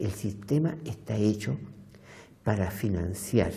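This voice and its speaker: At a very slow pace, a man speaks with a fairly low pitch. His tone is dark and mellow, and somewhat breathy. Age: 70s. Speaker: documentary interviewee. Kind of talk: interview.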